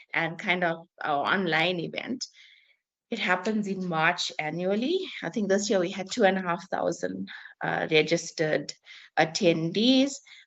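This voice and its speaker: She speaks at a fairly slow pace with a fairly low pitch and ordinary pitch variation. Hers is a plain, everyday voice from a woman. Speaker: event organiser presenting to partners. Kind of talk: business meeting discussion.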